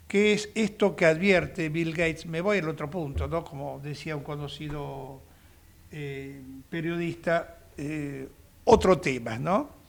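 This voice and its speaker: The speech moves at a very slow pace with ordinary pitch variation. Its loudness swings widely. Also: man, fairly high pitch for a man. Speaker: radio host, lawyer. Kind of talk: radio talk show discussion.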